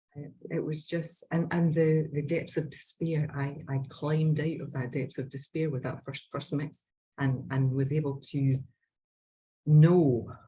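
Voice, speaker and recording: A woman with a Scottish accent speaks fairly slowly in a very deep, low voice. Her tone is dark, mellow and somewhat breathy, with monotone, flat intonation. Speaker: Bach flower practitioner. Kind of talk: casual interview chat.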